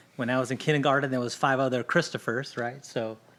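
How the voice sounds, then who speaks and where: A man at a fairly quick pace, medium in pitch, with monotone, flat intonation. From Los Angeles area, California. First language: Spanish. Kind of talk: podcast interview.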